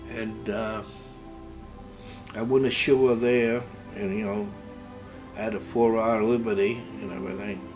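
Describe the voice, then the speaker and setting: Music plays in the background as the speaker talks at a fairly slow pace with lively intonation. Long, frequent pauses break up the speech. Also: man, fairly low pitch for a man. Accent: American. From Massachusetts, USA. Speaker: World War 2 navy veteran. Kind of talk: interview answer.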